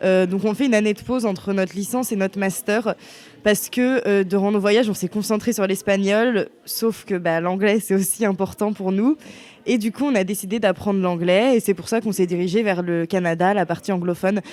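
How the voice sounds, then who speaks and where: At a moderate pace, a woman uses a normal speaking voice, medium in pitch, with fairly even intonation. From western France (Bressuire). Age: 20s. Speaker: university student. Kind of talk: testimony.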